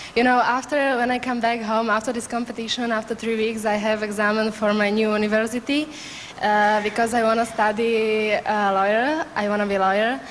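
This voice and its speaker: Over noticeable background noise, a woman with a Slovak accent speaks fairly quickly in a fairly high pitch, monotone and flat in intonation, with very even loudness. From Slovakia. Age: 20s. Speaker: beauty pageant contestant. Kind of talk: interview. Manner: halting.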